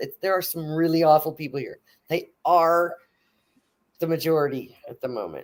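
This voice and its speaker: A woman speaks in an American accent with an animated tone. Her pace is moderate. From Texas. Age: 50s. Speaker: atheist guest. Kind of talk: casual chat.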